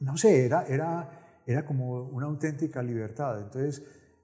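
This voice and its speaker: Somewhat breathy, with a dark, mellow tone, a man speaks at a moderate pace and keeps his intonation fairly even. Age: 70s. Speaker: novelist. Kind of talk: interview. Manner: halting.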